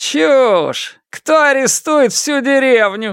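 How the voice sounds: On a very clean recording with a silent background, a put-on character voice with a clear, smooth, fairly bright tone moves at a slow pace with lively intonation. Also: man, extremely high pitch for a man.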